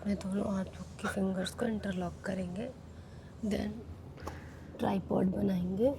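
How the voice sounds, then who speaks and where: Long, frequent pauses break up a woman's very slow speech at a medium pitch, with fairly even intonation and audible room echo. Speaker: yoga instructor. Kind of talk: yoga class instruction.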